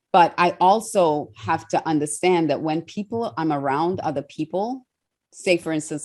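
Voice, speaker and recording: Against a quiet background, a woman with a fairly low voice speaks in an animated tone with ordinary pitch variation. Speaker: TV host and speaker. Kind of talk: interview.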